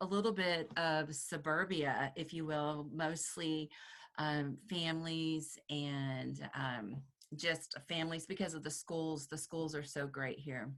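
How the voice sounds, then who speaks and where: Someone speaks at a very slow pace with a Texan accent and fairly even intonation. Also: woman, very deep, low pitch for a woman. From Texas, Dallas area. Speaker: real estate agent. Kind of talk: interview.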